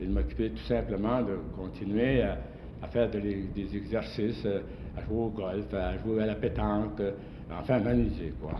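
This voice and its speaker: A man speaks at a fairly slow pace in a fairly low pitch. His voice makes very wide pitch swings. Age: 80s+. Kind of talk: interview answer.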